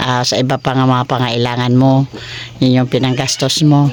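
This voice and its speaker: At a moderate pace, a woman speaks with a very deep, low pitch. Noticeable background noise is present. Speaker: charity vlogger. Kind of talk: casual chat. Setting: visiting someone's home.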